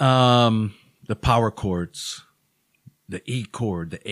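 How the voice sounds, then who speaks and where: In a very clean recording with a silent background and a dry, close sound with no echo, a man with a fairly low pitch speaks at a very slow pace with ordinary pitch variation. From Hawaii (Honolulu, Oahu). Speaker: musician in addiction recovery. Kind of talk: interview. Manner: halting.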